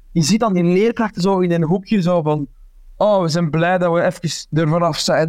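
A man's high pitch in a Flemish accent, with ordinary pitch variation. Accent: Flemish Dutch. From Flanders, Belgium. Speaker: comedian and actor. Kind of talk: casual chat. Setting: video call. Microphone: plain headset, poor audio quality.

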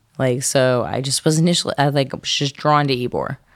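A woman speaks at a fairly quick pace in a New Orleans accent, her pitch very deep and low. The recording is very clean, with a silent background. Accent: New Orleans Southern. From US South, New Orleans. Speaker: bartender. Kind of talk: casual chat.

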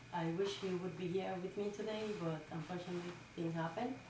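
A woman's fairly even intonation amid audible room echo and noticeable background noise. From rural Dominican Republic. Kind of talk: interview.

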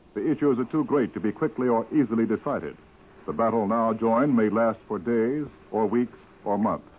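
This man has an unremarkable speaking voice at a medium pitch. He talks at a fairly quick pace with ordinary pitch variation. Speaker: radio newsman. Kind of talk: reading aloud press excerpts. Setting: studio.

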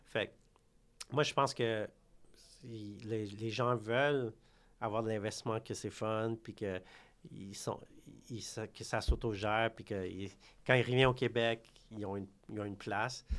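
With monotone, flat intonation, a man speaks at a fairly slow pace, his loudness swinging widely between long, frequent pauses. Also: medium pitch for a man, very clean recording, silent background. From Quebec. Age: 30s. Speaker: real estate broker. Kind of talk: interview. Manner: halting.

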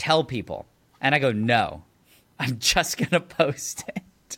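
In an ordinary speaking voice, a man talks at a medium pitch with lively intonation. The recording is very clean, with a silent background. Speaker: YouTuber. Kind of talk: casual chat.

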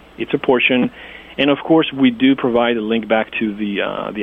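At a moderate pace and medium pitch, a man speaks against noticeable background noise. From Greece (Athens). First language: Greek. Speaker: domain investor and website developer. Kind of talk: interview. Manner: hesitant, many fillers.

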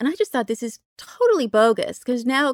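A woman with an American accent uses an ordinary speaking voice, fairly high in pitch, with lively intonation at a fairly quick pace. The sound is dry and close with no echo, in a very clean recording with a silent background. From US West Coast, Berkeley California. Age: 50s. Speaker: writer. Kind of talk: casual chat.

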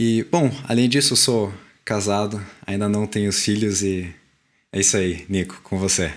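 A man with a plain, everyday voice speaks at a fairly slow pace, his fairly low pitch moving with ordinary variation and his loudness very even. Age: 20s. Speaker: podcast co-host, mechanical engineer. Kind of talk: casual chat.

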